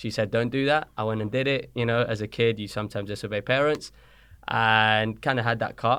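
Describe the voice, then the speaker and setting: A man with a British accent in a monotone, flat intonation, on a very clean recording with a silent background. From born in Colombia, raised in London from age six. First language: Spanish. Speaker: soccer coach. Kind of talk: podcast interview. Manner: casual, conversational.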